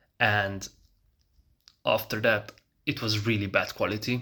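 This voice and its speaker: A man's bright, sharp tone at a fairly slow pace on a very clean recording with a silent background. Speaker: nofap coach vlogger. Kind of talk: personal vlog.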